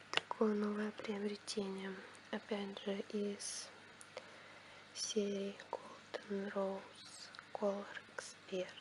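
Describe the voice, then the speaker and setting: Amid noticeable background noise, a woman speaks very slowly in a monotone, flat way, with long, frequent pauses. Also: medium pitch for a woman. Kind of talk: ASMR product review to camera. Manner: quiet, soft-spoken.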